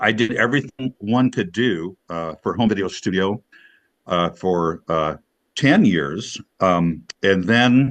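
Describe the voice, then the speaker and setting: Recorded with a dry, close sound, no echo and a quiet background, a man speaks very slowly at a fairly low pitch with lively intonation. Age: 60s. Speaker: video studio business owner. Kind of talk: casual chat. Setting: video call. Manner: halting.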